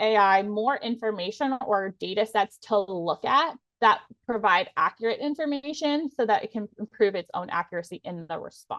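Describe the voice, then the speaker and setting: A woman's plain, everyday voice, fairly high in pitch, with lively intonation at a moderate pace, dry and close with no echo. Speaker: lawyer turned legal tech presenter. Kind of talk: webinar presentation.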